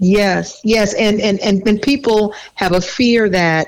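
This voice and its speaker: A woman with an American accent and a normal speaking voice talks at a fairly slow pace with ordinary pitch variation. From US South. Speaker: mental health professional, co-host. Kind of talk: casual chat.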